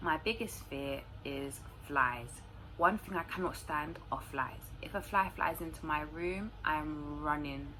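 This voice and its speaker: Very deep, low woman's voice in a London accent, fairly slow, with ordinary pitch variation. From London, England. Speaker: YouTuber. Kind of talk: casual Q&A monologue to camera.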